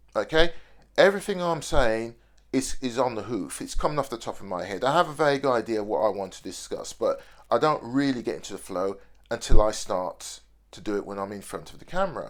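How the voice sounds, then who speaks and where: A man with a Birmingham accent at a fairly quick pace, big swings in loudness, on a very clean recording with a silent background. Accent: Birmingham (Brummie) accent, still present. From Birmingham, English Midlands. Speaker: video diarist. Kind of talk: unscripted video diary monologue. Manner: hesitant, repeats words.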